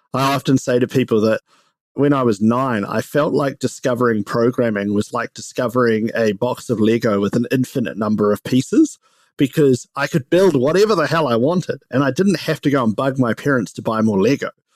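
A man with a New Zealand accent at medium pitch and a fairly quick pace, dry and close with no echo. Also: ordinary pitch variation. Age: 30s. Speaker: startup co-founder and CEO. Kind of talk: casual interview chat.

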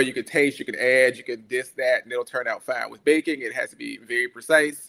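A man with an American accent uses a normal speaking voice, fairly high in pitch with ordinary variation. He speaks at a moderate pace on a very clean recording with a silent background. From US South, coastal Georgia (Brunswick). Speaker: scientist and baker. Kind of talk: casual chat.

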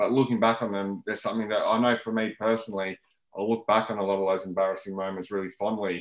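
A very fast, monotone, flat delivery in an Australian accent. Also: man, fairly low pitch for a man. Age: 30s. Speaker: debut author. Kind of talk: interview.

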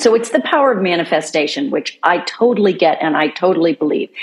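A woman at medium pitch, with lively intonation and a moderate pace. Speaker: podcast host. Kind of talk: interview. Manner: upbeat, enthusiastic.

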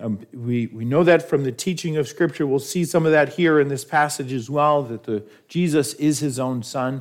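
With a plain, everyday voice and an American accent, a man speaks at a moderate pace with hardly any pauses, his pitch fairly high and its variation ordinary. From New York. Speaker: pastor. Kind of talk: sermon.

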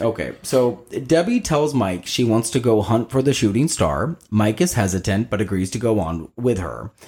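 A man's somewhat breathy voice at medium pitch, with lively intonation, a moderate pace and hardly any pauses. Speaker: podcast co-host. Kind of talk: casual chat.

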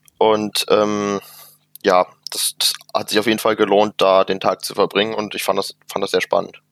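With a dry, close sound and no echo, a man talks at a moderate pace. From Germany, Mönchengladbach area (Rheindalen). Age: 20s. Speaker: youth association committee member and student. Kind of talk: casual chat.

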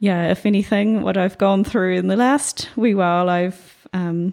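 Moderate pace, fairly even intonation, and a dark, mellow tone with a New Zealand accent. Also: woman. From New Zealand, New Plymouth. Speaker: abstract painter. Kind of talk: casual interview. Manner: halting.

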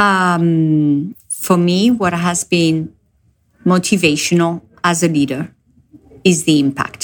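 A woman with a fairly low voice speaks at a very slow pace. Her loudness stays very even, and her pitch varies in an ordinary way. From France. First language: French. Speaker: business executive. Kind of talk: interview. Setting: video call. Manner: hesitant, many fillers.

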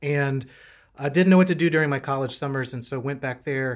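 In a normal speaking voice, a man with an American accent talks at a moderate pace with fairly even intonation and a fairly high pitch, recorded very cleanly against a silent background. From North Carolina. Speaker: Lutheran pastor. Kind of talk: casual interview.

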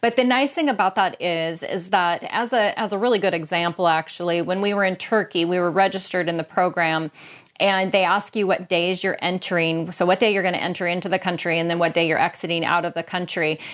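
A woman with an American accent speaks in an ordinary speaking voice at medium pitch, fairly quickly and with hardly any pauses, her intonation fairly even. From Washington State, US Pacific Northwest. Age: 50s. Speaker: travel podcaster, YouTuber. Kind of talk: casual chat.

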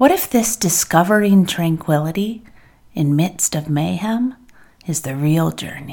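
A woman with an unremarkable speaking voice talks at a fairly slow pace, her fairly low pitch carrying lively intonation. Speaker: podcast host and poet. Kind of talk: poetry reading, performed verse read aloud in a contemplative spoken-word style. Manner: slow, measured, reflective; warm, soothing, deliberate pauses between lines.

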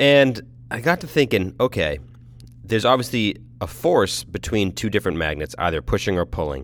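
Very wide pitch swings and vocal fry in a man's voice. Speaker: podcast host. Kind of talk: casual monologue. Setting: in a car. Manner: rambling, conversational.

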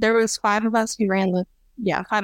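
A woman talks at a very fast pace in a Midwestern American accent, keeping her intonation fairly even. The recording is very clean, with a silent background. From central Illinois. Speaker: competitive trap shooter. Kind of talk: casual interview.

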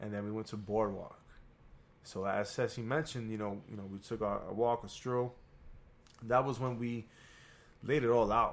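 A man with an American accent speaks in a medium-pitched monotone with flat intonation. The recording is very clean, with a silent background. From New York. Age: 30s. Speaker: guest, singer and student. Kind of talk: casual interview chat.

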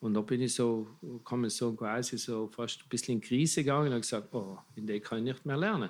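In a plain, everyday voice, a man speaks at a fairly quick pace with ordinary pitch variation. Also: medium pitch for a man. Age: 60s. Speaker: magician and clown. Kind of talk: casual interview chat.

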